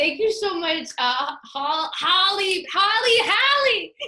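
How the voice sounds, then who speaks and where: With a Canadian accent, a woman projects a raised voice at an extremely high pitch, her intonation lively. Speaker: podcast host. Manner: excitable, laughing.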